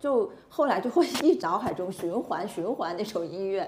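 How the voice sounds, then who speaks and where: Lively intonation marks a woman's unremarkable speaking voice. She is medium in pitch and keeps a moderate pace. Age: 30s. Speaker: podcast host. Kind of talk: casual chat.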